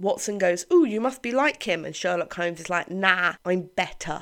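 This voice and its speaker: Recorded very cleanly against a silent background, a woman with a British accent talks in an animated tone with lively intonation. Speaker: podcast host and author. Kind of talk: casual chat.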